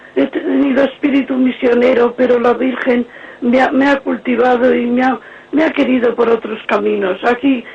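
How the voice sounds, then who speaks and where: Noticeable background noise sits under a voice moving at a fairly slow pace with fairly even intonation. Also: woman. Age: 70s. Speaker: caller. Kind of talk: call-in testimony and prayer. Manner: halting.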